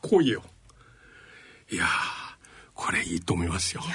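The speaker talks with a Chinese accent against noticeable background noise. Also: man. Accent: Chinese-accented Japanese. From China. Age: 60s. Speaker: radio host and professor. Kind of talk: radio interview. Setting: studio.

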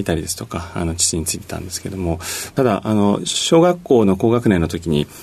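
A man with a very deep, low pitch talks at a fairly quick pace with ordinary pitch variation. Background noise is noticeable. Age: 40s. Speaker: company CEO. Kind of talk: radio interview. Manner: polite formal with many fillers.

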